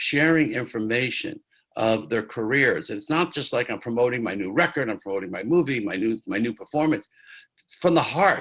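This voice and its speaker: With an American accent and an unremarkable speaking voice, a man talks at a fairly quick pace, medium pitch and lively intonation. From New York, Catskills. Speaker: music producer. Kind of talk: interview.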